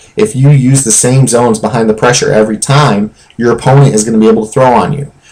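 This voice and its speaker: An ordinary speaking voice carries ordinary pitch variation. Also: man. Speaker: video game tutorial creator. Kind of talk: tutorial.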